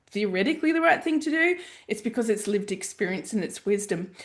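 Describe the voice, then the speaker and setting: A woman talks with lively intonation. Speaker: life coach and mentor. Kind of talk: podcast monologue. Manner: animated.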